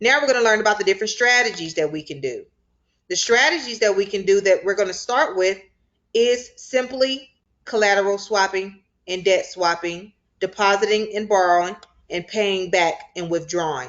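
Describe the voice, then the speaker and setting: Delivered at a moderate pace, a normal speaking voice shows ordinary pitch variation. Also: woman, medium pitch for a woman. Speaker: crypto finance instructor. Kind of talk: online class tutorial. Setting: video call with screen share.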